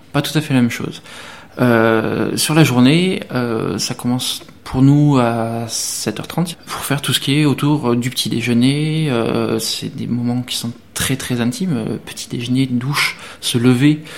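Noticeable background noise sits behind this man's voice. He talks at a very slow pace and medium pitch, with ordinary pitch variation. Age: 30s. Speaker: specialized social educator. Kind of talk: interview.

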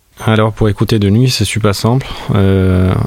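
Speaking with monotone, flat intonation, a man with a fairly low pitch is heard over noticeable background noise. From Albania, Tirana. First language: Albanian (speaking French). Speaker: musician. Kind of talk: interview monologue. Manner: halting.

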